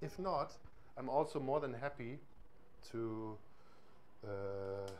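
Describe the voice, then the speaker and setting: With a German accent, a man speaks very slowly at a medium pitch, his intonation lively. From East Germany. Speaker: music software trainer. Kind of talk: workshop tutorial. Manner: hesitant, many fillers.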